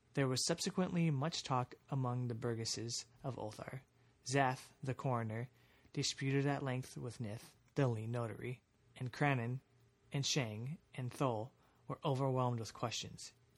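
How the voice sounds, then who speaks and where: A man talks in a plain, everyday voice at a medium pitch and moderate pace. His intonation stays fairly even over a quiet background. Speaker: podcast host. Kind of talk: reading aloud an archaic gothic horror story, audiobook-style narration.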